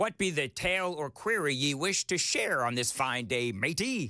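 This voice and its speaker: A put-on character voice from a man, fairly high-pitched, at a moderate pace, in a very clean recording with a silent background. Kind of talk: pirate speech, archaic. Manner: hammy, exaggerated.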